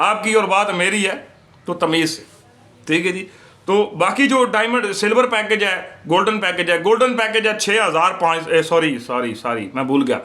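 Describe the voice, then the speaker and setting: A man with a high voice raises and projects it. Noticeable background noise is present. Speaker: YouTuber, IPTV/OTT service seller. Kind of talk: casual vlog monologue. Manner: sounds like arguing, forceful tone.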